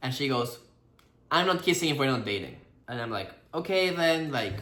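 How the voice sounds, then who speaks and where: A fairly high-pitched man with a bright, sharp tone, lively intonation and a fairly quick pace, plus audible room echo. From Peru. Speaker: actor and couple vlogger. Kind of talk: casual storytelling chat.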